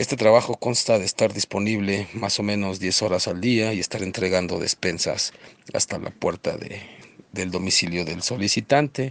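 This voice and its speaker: A man with a Mexican accent speaks at a moderate pace and a fairly low pitch, his intonation fairly even and the sound dry and close with no echo. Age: 40s. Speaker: delivery driver. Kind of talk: testimony.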